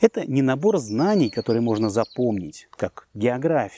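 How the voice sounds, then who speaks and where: A man with a dark, mellow tone speaks at medium pitch and moderate pace with lively intonation, the sound dry and close with no echo on a very clean recording with a silent background. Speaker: language teacher. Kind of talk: scripted narration. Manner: formal.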